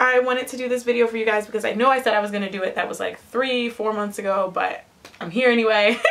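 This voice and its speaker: A woman with an American accent talks with ordinary pitch variation over noticeable background noise. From Ohio, Cleveland area. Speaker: lifestyle vlogger. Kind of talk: casual vlog. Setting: home attic. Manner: casual, filler-heavy.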